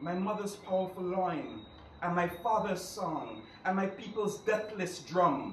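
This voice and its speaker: Over noticeable background noise, a man speaks at a fairly slow pace in a high voice with ordinary pitch variation. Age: young. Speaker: poetry reader. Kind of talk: poetry reading.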